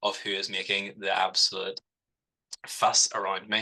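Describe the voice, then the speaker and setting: A man is speaking. He has a Northern Irish accent. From Northern Ireland, Belfast. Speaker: cancer nurse researcher. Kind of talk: webinar presentation.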